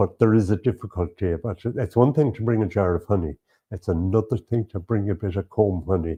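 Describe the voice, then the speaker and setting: Speaking with an Irish accent, a man uses a very deep, low pitch and a somewhat breathy voice. His pace is fairly quick, and his pitch varies in an ordinary way. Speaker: beekeeper and lecturer. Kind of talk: interview. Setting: at a show. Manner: halting.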